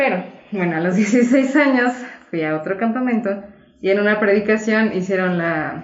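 A woman talks at a fairly slow pace, with ordinary pitch variation. Some room echo can be heard. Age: 20s. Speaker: co-host sharing personal testimony. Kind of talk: testimony.

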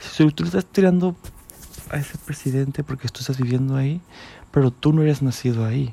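Fairly quick and somewhat breathy, a man speaks in a fairly high, dark and mellow voice with ordinary pitch variation. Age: 20s. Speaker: podcaster. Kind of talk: personal monologue. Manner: halting, many repetitions.

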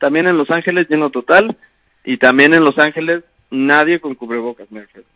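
A man's fairly high pitch and bright, sharp tone, lively intonation at a moderate pace, dry and close with no echo. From Mexico. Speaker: sports podcast co-host. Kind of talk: casual chat. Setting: remote call.

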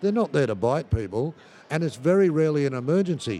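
With an Australian accent, a man talks at a very fast pace with lively intonation. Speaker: snake handling course provider.

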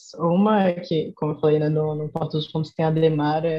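Music plays behind a woman whose intonation is monotone and flat. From Salvador, Bahia (Brazil's Northeast). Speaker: youth NGO volunteer director. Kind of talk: casual interview chat.

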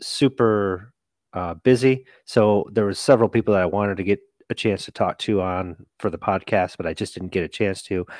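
The man has an unremarkable speaking voice, fairly low in pitch with fairly even intonation. The sound is dry and close with no echo, in a very clean recording with a silent background. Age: 40s. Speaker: wrestling referee and podcast co-host. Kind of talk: casual chat.

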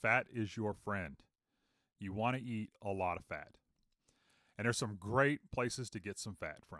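Speaking in a fairly low voice with an American accent and a bright, sharp tone, a man keeps a moderate pace with ordinary pitch variation and long, frequent pauses, in a dry, close sound with no echo. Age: 50s. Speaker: podcast host. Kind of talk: casual monologue. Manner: animated.

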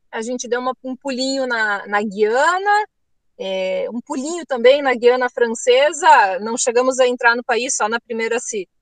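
A woman speaks at a fairly slow pace in a high pitch. Her loudness swings a lot. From Rio Grande do Sul, Brazil. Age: 30s. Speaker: travel author. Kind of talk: interview.

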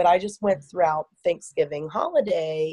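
A woman speaks in an American accent at a fairly slow pace, her tone dark and mellow. The sound is dry and close, with no echo. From Virginia, US. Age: 40s. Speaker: elementary school teacher. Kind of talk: casual interview chat.

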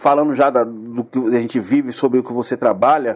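At a moderate pace, a man talks in a plain, everyday voice of medium pitch with ordinary pitch variation. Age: 40s. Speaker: podcast host. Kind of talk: casual chat.

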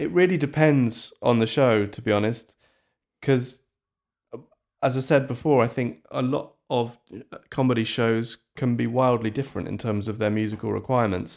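A man talks at a medium pitch with ordinary pitch variation. His pace is moderate. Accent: northern English. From northern England. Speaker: composer. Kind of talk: interview.

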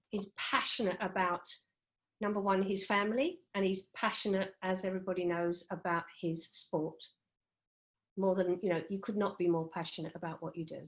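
A woman speaks at medium pitch with fairly even intonation in an unremarkable speaking voice. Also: moderate pace. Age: 60s. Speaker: HR head and grandmother. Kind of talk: casual chat.

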